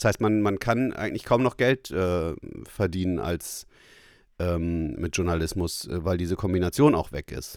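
Very deep, low pitch from a man at a fairly slow pace with lively intonation, in a very clean recording with a silent background. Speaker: journalist and podcast host. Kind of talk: casual chat. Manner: halting, many fillers.

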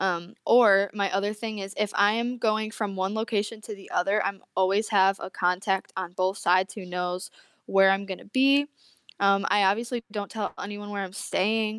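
Monotone and flat, a woman with an American accent speaks at a moderate pace and medium pitch. The recording is very clean with a silent background and a dry, close sound with no echo. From upstate New York. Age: 20s. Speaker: Bible college student and aspiring missionary. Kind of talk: casual interview, personal testimony.

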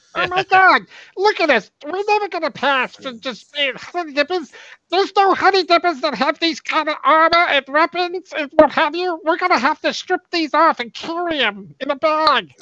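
The voice is high and clearly a put-on character. Its tempo is medium. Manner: panicked, incredulous.

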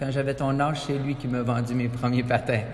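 A man speaks at a medium pitch. Audible room echo colors the recording. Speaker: business owner. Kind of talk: interview. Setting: sports complex.

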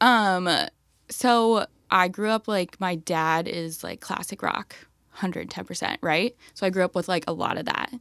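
In an American accent, a woman speaks at medium pitch and a fairly slow pace with ordinary pitch variation, in a dry, close sound with no echo on a very clean recording with a silent background. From US Midwest, Minneapolis. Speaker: music industry guest. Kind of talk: casual chat. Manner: animated.

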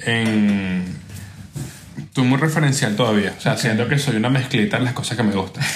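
Against noticeable background noise, a man speaks at a medium pitch with ordinary pitch variation. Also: fairly quick pace. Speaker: podcast host. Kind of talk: casual chat.

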